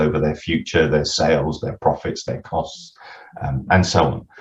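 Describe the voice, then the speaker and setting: Somewhat breathy, a man's voice comes through. He speaks at a fairly quick pace. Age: 60s. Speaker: retired accountant and business author. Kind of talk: podcast interview. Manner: halting with frequent repetitions.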